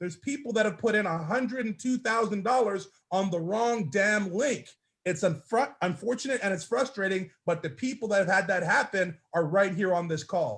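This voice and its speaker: Against a quiet background, a man speaks loudly at a high pitch, with ordinary pitch variation and a moderate pace. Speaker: network marketing team leader. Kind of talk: motivational speech on a group call. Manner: animated.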